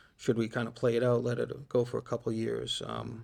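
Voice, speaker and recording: Speaking at a moderate pace and medium pitch, a man with an American accent uses a normal speaking voice. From Shrewsbury, Massachusetts. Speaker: municipal fleet manager. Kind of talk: interview.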